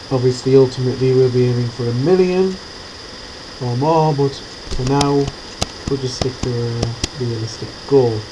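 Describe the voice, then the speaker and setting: Amid noticeable background noise, a man at medium pitch talks with fairly even intonation and long, frequent pauses. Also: moderate pace. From England, not the south. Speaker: gaming tutorial creator. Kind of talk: gameplay tutorial. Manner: casual, conversational.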